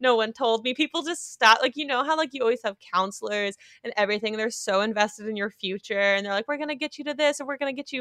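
An animated, bright and sharp voice with an American accent at a fairly quick pace, dry and close with no echo. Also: woman. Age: 20s. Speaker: podcast co-host, creative producer. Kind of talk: casual chat. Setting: home recording, parents' basement guest room. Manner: animated, frequent laughter.

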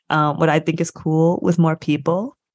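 An unremarkable speaking voice from a woman, fairly low in pitch, with an American accent, at a moderate pace, in a dry, close recording with no echo. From US Midwest, Michigan. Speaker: professor and podcast co-host. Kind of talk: interview conversation.

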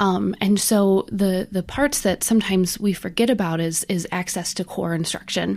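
At a moderate pace, a woman with a plain, everyday voice speaks in an American accent, her pitch varying in an ordinary way. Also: medium pitch for a woman, hardly any pauses. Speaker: accessibility consultant. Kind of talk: casual chat.

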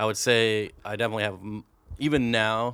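This is a man speaking. His voice sits at a fairly low pitch. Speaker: aquarium hobbyist and online fish seller. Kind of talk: casual interview chat.

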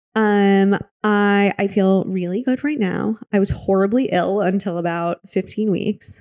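A woman with an American accent speaks in a plain, everyday voice at medium pitch and a fairly slow pace. Her loudness stays very even, her intonation fairly even, with hardly any pauses. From US Midwest, Michigan. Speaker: fitness studio founder. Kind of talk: casual interview. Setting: office.

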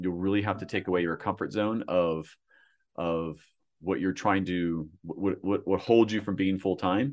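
Against a quiet background, a man uses an ordinary speaking voice at a moderate pace. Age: 40s. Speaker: startup founder and marketing agency head. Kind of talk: podcast interview. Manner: repetitive false starts.

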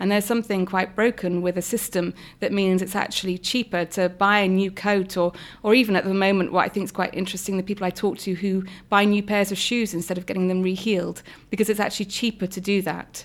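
Very fast, monotone, flat delivery from a woman at medium pitch with a British accent, on a very clean recording with a silent background. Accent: regional UK. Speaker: political party deputy leader. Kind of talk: interview.

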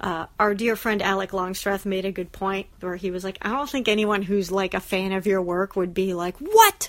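A woman at a medium pitch and moderate pace with hardly any pauses and fairly even intonation, over noticeable background noise. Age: 30s. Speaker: cartoonist. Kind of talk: casual chat. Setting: outdoors.

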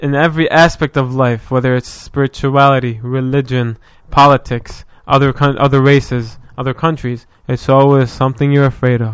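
Here a man speaks with an Arabic accent at a medium pitch. His intonation is monotone and flat, and his pace is fairly quick. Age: 20s. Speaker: podcast guest. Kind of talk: casual chat.

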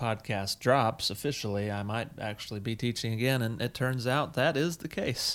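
This is an unremarkable speaking voice with fairly even intonation. The pace is moderate. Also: man. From US South, South Carolina. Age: 30s. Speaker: podcast co-host, teacher. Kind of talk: casual chat.

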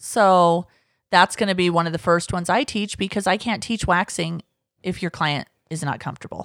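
An ordinary speaking voice from a woman, fairly low in pitch with ordinary pitch variation at a moderate pace, dry, close sound with no echo on a very clean recording with a silent background. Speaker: podcast host. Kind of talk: casual chat.

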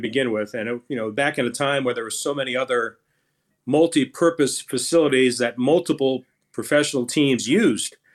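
A fairly high-pitched man with an unremarkable speaking voice and ordinary pitch variation comes through on a very clean recording with a silent background. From Orlando, Florida (born in Brooklyn). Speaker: baseball play-by-play announcer. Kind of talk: casual interview.

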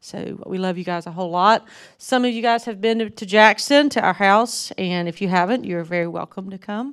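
A woman with a strong Southern US accent speaks fairly quickly at medium pitch, with ordinary pitch variation, on a very clean recording with a silent background. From North Mississippi, US South. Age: 50s. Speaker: missionary speaker. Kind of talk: sermon. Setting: church.

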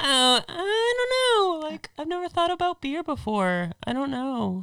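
A put-on character voice speaks at a fairly slow pace. Its high pitch makes very wide swings. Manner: ditzy, unsure.

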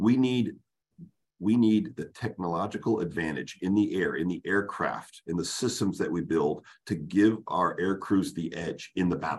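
A man talks in a normal speaking voice at a fairly low pitch. His pace is moderate, with ordinary pitch variation. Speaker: retired air force general and fighter pilot. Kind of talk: policy briefing presentation.

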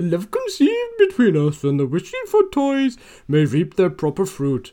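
In a Welsh accent, a female-sounding voice performs a put-on character voice. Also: medium pitch for a woman, moderate pace. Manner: poor imitation, voice breaking.

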